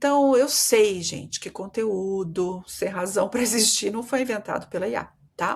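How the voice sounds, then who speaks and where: A woman with a Brazilian accent speaks with very wide pitch swings. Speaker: marketing consultant and podcast host. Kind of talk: solo podcast monologue. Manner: conversational, addresses listeners directly.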